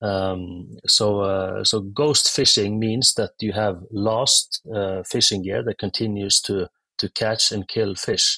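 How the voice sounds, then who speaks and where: The man speaks at a very slow pace. The sound is dry and close, with no echo. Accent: Norwegian. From Norway. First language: Norwegian. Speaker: tech startup founder. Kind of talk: interview. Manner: halting.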